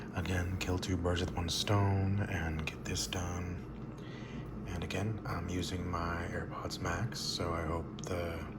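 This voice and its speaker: The voice is soft-spoken and moves at a very slow pace. Noticeable background noise runs underneath. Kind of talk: casual talk to camera.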